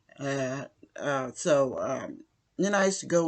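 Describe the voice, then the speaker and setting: A woman speaks fairly slowly in a very deep, low voice. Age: old. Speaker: retiree. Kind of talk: casual talk to camera.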